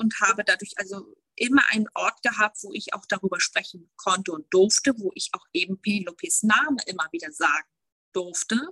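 A woman with a bright, sharp, fairly high voice speaks at a moderate pace with lively intonation, in dry, close sound with no echo. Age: 30s. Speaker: bereavement counselor. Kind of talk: interview. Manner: halting.

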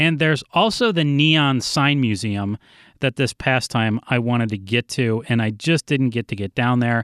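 A man's ordinary speaking voice at medium pitch, with ordinary pitch variation and a moderate pace, dry and close with no echo on a very clean recording with a silent background. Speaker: solo podcast host. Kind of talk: casual solo monologue. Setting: makeshift recording spot, computer.

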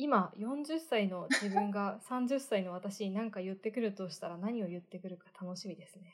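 A somewhat breathy woman's voice at a medium pitch and moderate pace, with ordinary pitch variation, hardly any pauses and big swings in loudness. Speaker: podcast co-host. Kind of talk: casual chat.

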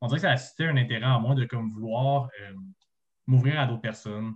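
This man's voice is somewhat breathy. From Quebec, Montreal South Shore. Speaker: student podcast co-host. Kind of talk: casual chat. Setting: video call. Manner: halting.

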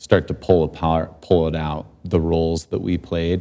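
A man speaks at a fairly slow pace. His voice is very deep and low, with a dark, mellow tone. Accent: American. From Utah. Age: 40s. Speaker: professional snowboarder. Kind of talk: interview. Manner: halting.

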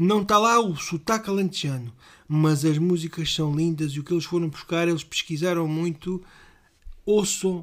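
The speaker is a man with a high pitch. He talks with a European Portuguese accent. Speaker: podcast co-host. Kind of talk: casual chat.

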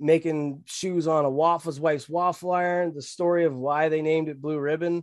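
Against a quiet background, a man with a Canadian accent and a normal speaking voice talks at a moderate pace with a fairly high pitch and fairly even intonation. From Ontario, Canada. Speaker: sneaker and hat brand owner. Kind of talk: casual chat.

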